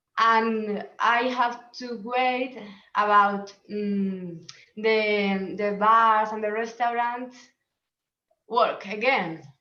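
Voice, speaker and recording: Amid audible room echo, a woman speaks very slowly with a bright, sharp tone at a fairly high pitch. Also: fairly even intonation. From Spain, Murcia. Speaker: sommelier. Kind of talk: self-introduction in a webinar. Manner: halting.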